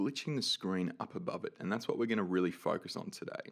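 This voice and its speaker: A man speaks in an upbeat tone. He has an Australian accent. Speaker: 3D animation tutorial creator. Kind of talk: software tutorial. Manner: casual, upbeat.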